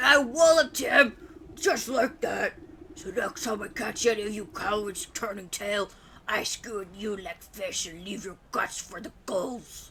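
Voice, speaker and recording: Here a man uses a put-on character voice with a high pitch. He keeps a moderate pace. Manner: gruff.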